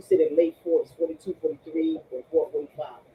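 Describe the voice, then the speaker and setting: Background noise is clearly audible. Over it, a woman talks. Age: 60s. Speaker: live stream panelist. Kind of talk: casual group discussion.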